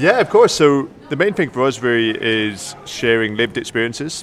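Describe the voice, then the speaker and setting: Noticeable background noise sits behind the voice. The man speaks at a moderate pace. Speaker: company representative. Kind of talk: radio interview.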